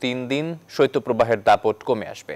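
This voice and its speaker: A man with a normal speaking voice and ordinary pitch variation, against a quiet background. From Bangladesh. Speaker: news anchor. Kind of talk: news reading. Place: studio. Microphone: lapel.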